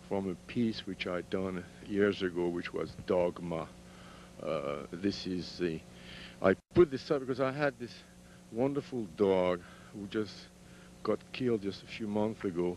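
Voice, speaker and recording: Speaking with a French accent, a man has a fairly low pitch and lively intonation. His pace is fairly slow, with long, frequent pauses. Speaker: sculptor. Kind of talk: guided tour of own artworks. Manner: halting.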